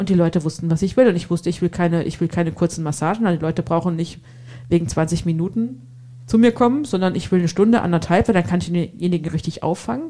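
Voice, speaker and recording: Talking very fast in a Hessian accent, a woman uses a fairly low pitch with ordinary pitch variation. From Hesse, Germany. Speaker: entrepreneur and massage therapist. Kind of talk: casual chat.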